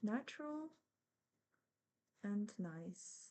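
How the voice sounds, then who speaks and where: Speaking with a non-native accent, a woman has a dark, mellow tone at a medium pitch. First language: not English. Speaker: embroidery teacher. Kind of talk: tutorial. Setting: live stream. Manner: casual, with fillers and self-corrections.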